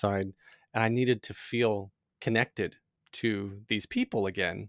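Recorded very cleanly against a silent background, with a dry, close sound and no echo, a man speaks in a plain, everyday voice, fairly low, with ordinary pitch variation. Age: 40s. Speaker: podcast host and tech company co-founder. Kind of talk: casual interview.

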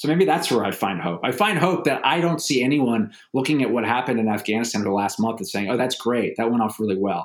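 A man speaks at a fairly quick pace with an American accent, his pitch medium. It is an unremarkable speaking voice with lively intonation. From United States. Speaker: novelist and war veteran. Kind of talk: interview.

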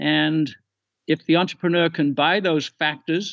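The speaker uses an English accent at a moderate pace, with ordinary pitch variation. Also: man. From England. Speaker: economics podcaster. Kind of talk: casual chat.

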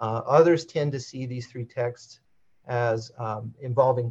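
A man speaks at a medium pitch with a somewhat breathy voice. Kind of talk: academic lecture with slides. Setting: video call.

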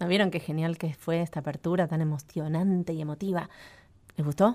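A woman with a Rioplatense accent at a fairly quick pace, on a very clean recording with a silent background. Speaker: radio host. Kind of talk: children's radio show. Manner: animated.

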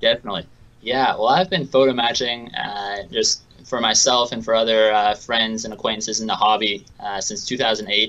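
A man with an American accent has an ordinary speaking voice, medium pitch, fairly even intonation and a moderate pace. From Seattle, US Pacific Northwest. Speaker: memorabilia photo matching business owner. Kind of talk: interview.

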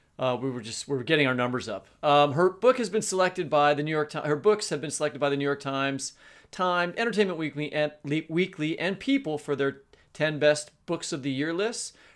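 A man's fairly high voice, a plain, everyday voice, at a fairly quick pace with ordinary pitch variation, on a very clean recording with a silent background. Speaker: podcast co-host and novelist. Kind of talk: casual chat.

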